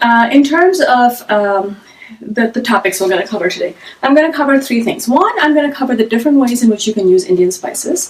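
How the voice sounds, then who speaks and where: Loud and high-pitched, a woman talks with lively intonation over noticeable background noise. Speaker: cooking teacher. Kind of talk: live-streamed cooking class. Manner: fast when excited.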